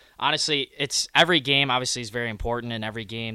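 A man's medium-pitched voice with a bright, sharp tone, fairly even intonation and a very fast pace, in a very clean recording with a silent background. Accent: American. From Michigan. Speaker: junior hockey player. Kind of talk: casual interview.

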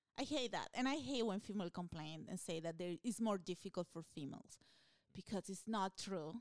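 A woman with a Peruvian accent speaks at a fairly quick pace with lively intonation and medium pitch. The sound is dry and close, with no echo. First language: Spanish. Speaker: stand-up comedian. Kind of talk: casual chat. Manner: animated.

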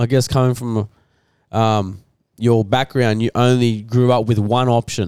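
The speaker has an Australian accent, and the sound is dry and close with no echo. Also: man. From Rockhampton, Queensland, Australia. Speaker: financial planner. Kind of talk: casual chat.

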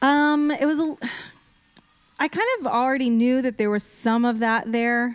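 A woman with a normal speaking voice talks in an American accent. She keeps a fairly slow pace and a fairly high pitch. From Texas, Austin. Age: 30s. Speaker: podcast guest. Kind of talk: casual chat.

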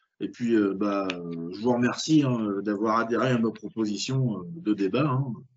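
A man talks very slowly, hardly pausing at all. His pitch is medium, with ordinary variation. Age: 30s. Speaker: film podcast host. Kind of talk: casual chat.

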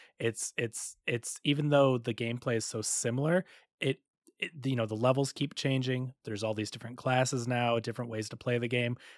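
Using a plain, everyday voice, a man talks fairly quickly at medium pitch with fairly even intonation, the sound dry and close with no echo on a very clean recording with a silent background. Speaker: video game podcast co-host. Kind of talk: casual chat.

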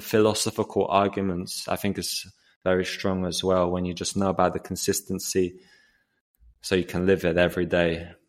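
In an English accent, a man speaks with a very deep, low pitch at a moderate pace. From England. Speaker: podcast host and vegan activist. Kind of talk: casual chat. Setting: remote call.

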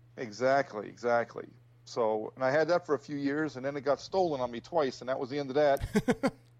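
Against a quiet background, a man with an American accent and an unremarkable speaking voice talks at a fairly quick pace, his pitch fairly high with ordinary variation. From New Jersey. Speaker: motorcycle enthusiast, military veteran. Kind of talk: casual chat.

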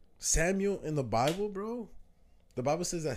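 A man speaks at a moderate pace with an American accent. Audible room echo surrounds his voice. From New Jersey. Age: 20s. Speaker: podcast host. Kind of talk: casual chat.

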